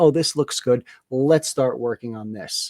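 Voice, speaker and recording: In a dry, close recording with no echo, a man with a New Jersey accent speaks at a medium pitch and a moderate pace. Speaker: podcast co-host. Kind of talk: casual chat.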